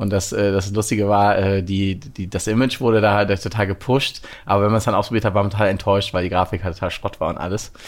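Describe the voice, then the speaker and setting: A man speaks at a very fast pace with hardly any pauses. His pitch is fairly low, with fairly even intonation. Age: 30s. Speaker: VR company co-founder and CTO. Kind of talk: interview. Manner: halting.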